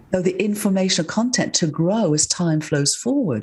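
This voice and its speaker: Somewhat breathy, a woman's dark, mellow tone comes through on a very clean recording with a silent background. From northern England. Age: 70s. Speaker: scientist and author. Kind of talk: interview.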